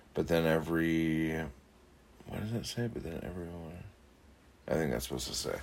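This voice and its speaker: At a moderate pace, a man with a very deep, low pitch and ordinary pitch variation speaks with long, frequent pauses, his voice carrying audible room echo. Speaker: podcast host and poet. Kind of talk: casual solo podcast monologue. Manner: rambling with many fillers.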